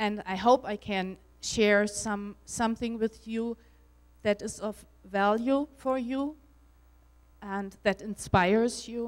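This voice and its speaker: Speaking at a very slow pace, a woman with a German accent uses a medium pitch. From Germany. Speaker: spiritual speaker and author. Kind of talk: conference talk. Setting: stage with audience. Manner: halting.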